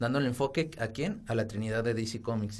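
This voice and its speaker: A man speaks in a plain, everyday voice at a medium pitch. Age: 20s. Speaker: architect, podcast co-host. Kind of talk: casual chat.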